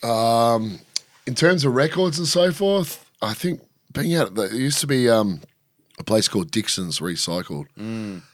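At a fairly slow pace, a man with an Australian accent speaks at a medium pitch with very wide pitch swings. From Australia, rural Victoria (Shepparton). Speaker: DJ and film crew worker. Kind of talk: casual chat. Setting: studio.

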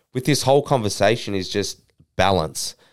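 Ordinary pitch variation and a moderate pace from a plain, everyday voice, on a very clean recording with a silent background. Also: man. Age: 20s. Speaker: fitness influencer and mentor to young men. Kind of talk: interview.

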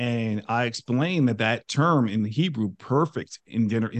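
With an American accent, a man speaks at a moderate pace and medium pitch in a plain, everyday voice. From New York. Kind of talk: interview.

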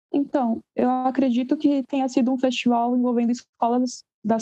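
At a moderate pace, a dark, mellow voice speaks in a flat monotone with a dry, close sound and no echo. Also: woman. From Guarulhos, São Paulo, Brazil. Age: 18. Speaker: musician, bassist and singer. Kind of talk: casual interview.

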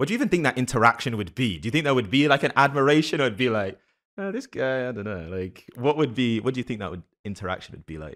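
A man in an American accent at a very fast pace, with very wide pitch swings, big swings in loudness and vocal fry, on a very clean recording with a silent background. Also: medium pitch for a man. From London, England. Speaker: podcast host. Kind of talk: interview conversation.

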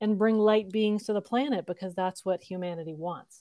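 Recorded very cleanly against a silent background, a woman with an unremarkable speaking voice talks at medium pitch with ordinary pitch variation. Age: 50s. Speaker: spiritual guide. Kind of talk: casual spiritual interview chat.

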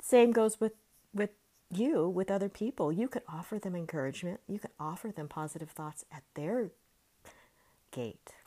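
With long, frequent pauses, a woman speaks at a moderate pace and medium pitch in a dark, mellow tone, her intonation lively and her loudness swinging widely. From California. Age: 50s. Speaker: life coach. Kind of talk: solo monologue podcast.

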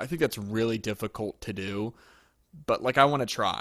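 Speaking in a normal speaking voice with an American accent, a man keeps a medium pitch and a fairly quick pace in a very clean recording with a silent background. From Pennsylvania, US. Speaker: podcast host and trumpet player. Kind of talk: casual chat.

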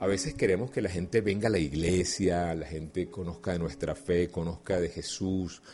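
With a very deep, low pitch and a dark, mellow tone, a man speaks somewhat breathily at a moderate pace, with ordinary pitch variation and hardly any pauses. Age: 50s. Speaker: life coach. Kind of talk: motivational talk. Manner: conversational, frequent fillers.

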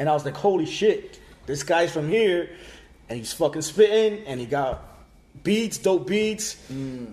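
A man's high-pitched voice, dark and mellow in tone, with big swings in loudness and lively intonation. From Puerto Rico and Miami. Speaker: photographer and videographer. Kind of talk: casual chat.

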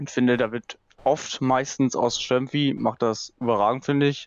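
The delivery comes in a normal speaking voice with fairly even intonation. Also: man. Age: 20s. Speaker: football fan guest. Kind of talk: casual chat.

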